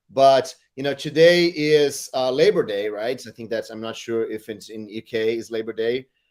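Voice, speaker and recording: A man with a non-native accent talks at a moderate pace with hardly any pauses, medium pitch, ordinary pitch variation and big swings in loudness, on a very clean recording with a silent background. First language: not English. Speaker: tech community host. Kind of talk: casual chat. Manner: halting.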